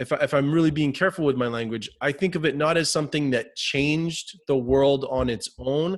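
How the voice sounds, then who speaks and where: Speaking fairly high with ordinary pitch variation, the man keeps a moderate pace. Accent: New Hampshire. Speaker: hypnotist, interviewer. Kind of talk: interview.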